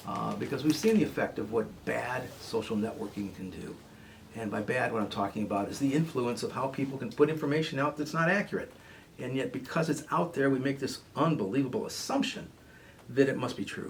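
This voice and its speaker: Noticeable background noise sits behind a man speaking at a fairly quick pace. His pitch is medium and his intonation lively. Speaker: radio host, therapist. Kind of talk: radio talk show monologue. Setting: radio studio. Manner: fast when excited.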